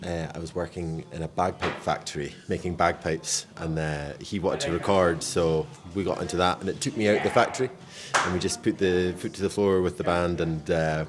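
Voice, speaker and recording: Over music in the background, a man with a Scottish accent speaks fairly quickly at a very deep, low pitch with ordinary pitch variation. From Scotland. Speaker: musician, band founder. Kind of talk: casual interview.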